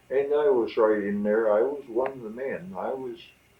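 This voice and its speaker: Against noticeable background noise, a man with an American accent talks at a fairly slow pace. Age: 90s. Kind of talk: interview answer.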